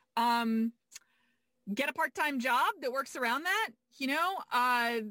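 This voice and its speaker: A woman speaks in a raised, projected voice with a bright, sharp tone. Her intonation is lively, and the sound is dry and close with no echo. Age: 40s. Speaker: business coach. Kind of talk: casual chat.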